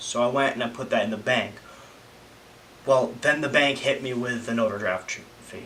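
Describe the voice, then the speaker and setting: A man talks fairly slowly at a medium pitch while noticeable background noise carries on behind him. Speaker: vlogger. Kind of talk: casual vlog monologue. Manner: halting, many fillers.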